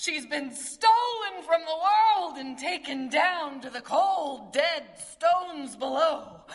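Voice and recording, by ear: A woman puts on a character voice, pitched high, with lively intonation. She speaks at a slow pace.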